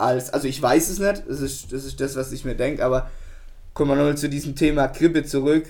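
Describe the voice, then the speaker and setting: An ordinary speaking voice belongs to a man who talks at a fairly quick pace, fairly high in pitch, with fairly even intonation. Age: 20s. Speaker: podcast co-host, plastics technologist. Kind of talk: casual chat.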